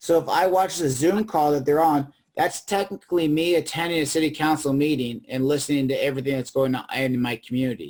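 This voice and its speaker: Fairly high pitch for a man, ordinary pitch variation, a fairly quick pace and hardly any pauses. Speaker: civic program manager. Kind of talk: presentation with Q&A. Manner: fast.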